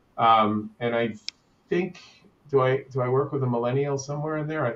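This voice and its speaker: A man with a medium pitch and a normal speaking voice talks at a moderate pace with ordinary pitch variation. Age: 60s. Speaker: business consultant. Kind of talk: panel discussion.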